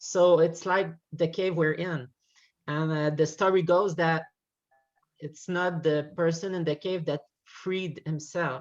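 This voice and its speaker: Over music in the background, a woman talks at a fairly slow pace in a fairly low, monotone, flat voice with long, frequent pauses. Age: 30s. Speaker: class participant. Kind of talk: class discussion. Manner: hesitant. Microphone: unstable connection, breaking up.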